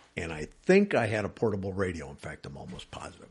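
A man with an American accent speaks with vocal fry and very wide pitch swings. The background is quiet. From Wisconsin. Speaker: private detective. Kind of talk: interview.

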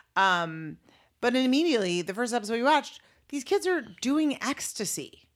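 A woman's high, playful voice with very wide pitch swings at a moderate pace, on a very clean recording with a silent background. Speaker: podcast host. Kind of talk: casual comedic banter between a couple. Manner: playful, joking.

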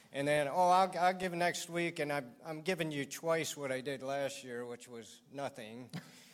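A man speaks at a moderate pace with hardly any pauses, his fairly high pitch showing ordinary variation. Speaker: construction business owner. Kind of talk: interview. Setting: church. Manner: soft-spoken.

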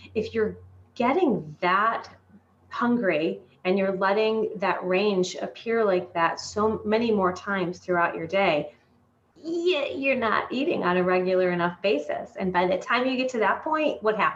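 In an American accent, a woman with an unremarkable speaking voice speaks at a fairly slow pace and medium pitch, her intonation lively. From Michigan. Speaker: dietitian and health coach. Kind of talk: casual interview.

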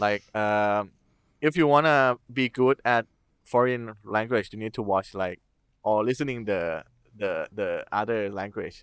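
A man speaks with a Thai accent at a fairly slow pace, his pitch medium with ordinary variation. The sound is dry and close with no echo, on a very clean recording with a silent background. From Thailand. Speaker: furry and film videographer. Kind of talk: casual interview chat. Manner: halting, non-fluent English.

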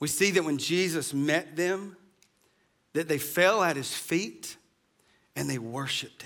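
With audible room echo, a man with a fairly high pitch and ordinary pitch variation speaks at a fairly slow pace, with big swings in loudness and long, frequent pauses. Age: 40s. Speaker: pastor. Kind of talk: sermon.

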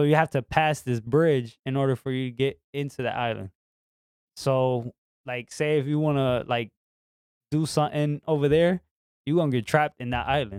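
With a New York accent, a man speaks at a moderate pace in a fairly high pitch, his intonation fairly even. Long, frequent pauses break up his speech, and the sound is dry and close with no echo. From New York City. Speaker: guest co-host. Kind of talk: casual chat.

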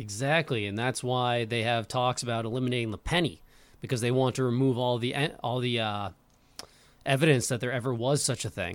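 In a very clean recording with a silent background, a man talks at a fairly quick pace in an ordinary speaking voice with medium pitch. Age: 20s. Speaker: podcast host. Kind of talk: casual chat.

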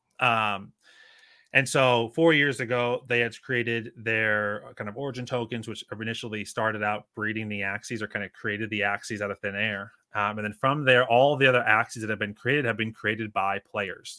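The voice has a bright, sharp tone, an American accent, fairly even intonation and a moderate pace. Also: man, medium pitch for a man. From US Northeast. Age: 30s. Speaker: NFT collector. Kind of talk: podcast interview.

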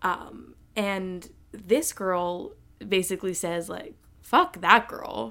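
A woman at a very slow pace, with lively intonation and big swings in loudness. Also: medium pitch for a woman. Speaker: podcast host. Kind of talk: casual solo monologue. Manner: unscripted, off the cuff; occasional stutter and filler.

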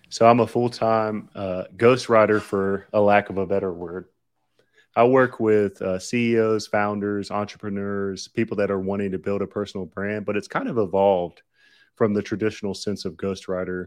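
A man with a Southern US accent speaks at a moderate pace in a flat monotone with a fairly low pitch, over a quiet background. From US South, Lower Alabama. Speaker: ghostwriter and entrepreneur. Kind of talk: casual interview chat.

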